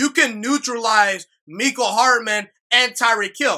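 A man speaks in a raised, projected voice that is extremely high in pitch, with a bright, sharp, animated tone and ordinary pitch variation. The background is quiet. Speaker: sports podcaster. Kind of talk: solo sports commentary monologue. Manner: casual, animated. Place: home room. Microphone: studio mic.

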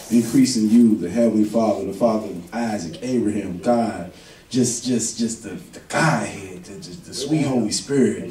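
The speech keeps a moderate tempo over music in the background. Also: man. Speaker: pastor. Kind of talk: sermon prayer. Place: church.

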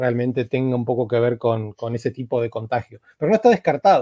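A man talks over a quiet background, the sound dry with no echo. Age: 40s. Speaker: novelist and translator; interviewee. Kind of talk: interview. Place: home room. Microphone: earbuds.

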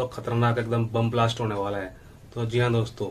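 Against light background noise, a man speaks at a moderate pace. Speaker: fitness youtuber. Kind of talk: casual tutorial chat.

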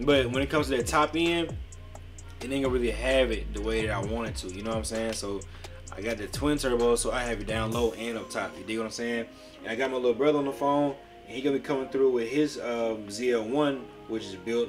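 With clear music in the background, a man talks at a very fast pace with ordinary pitch variation. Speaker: gaming streamer. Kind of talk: casual gaming commentary.

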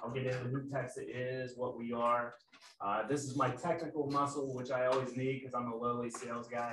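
With audible room echo and light background noise, a man talks at a fairly quick pace. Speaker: sales manager presenting. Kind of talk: webinar presentation. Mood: friendly, self-deprecating. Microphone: video call.

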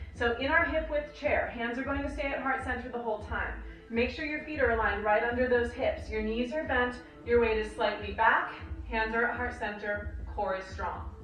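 Over light background noise and audible room echo, a woman with a high pitch talks at a moderate pace with ordinary pitch variation. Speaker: fitness and yoga instructor. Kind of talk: instructional workout cueing, talking viewers through yoga-based strength combos. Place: home room.

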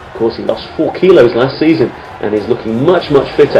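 A man is speaking. Music plays in the background. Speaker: football commentator. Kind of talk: football match-highlights commentary, voiced over replays in a polished broadcast style. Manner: fluent, upbeat and enthusiastic, with praise-filled phrasing and a steady, narrative flow.

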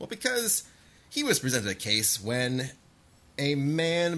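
Medium pitch from a man, in a bright, sharp tone at a fairly slow pace. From northern Ohio. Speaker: podcast co-host. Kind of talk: casual chat.

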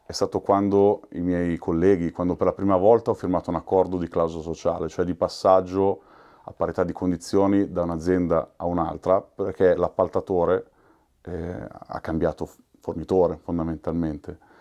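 Against a quiet background, a man speaks with flat, monotone intonation in a very deep, low voice of dark, mellow tone. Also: moderate pace. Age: 40s. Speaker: union workplace representative. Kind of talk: documentary interview. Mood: reflective, moved. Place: office.

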